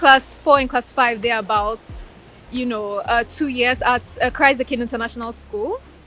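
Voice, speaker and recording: Over music in the background, a woman talks in a high pitch. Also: ordinary pitch variation, moderate pace. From Ukraine (Crimea) and Ghana. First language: Russian. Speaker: law graduate. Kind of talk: interview.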